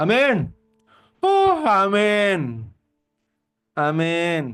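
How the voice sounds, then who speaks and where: Putting on a character voice, a man mumbles at a high pitch. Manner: giggly, careless, mumbled.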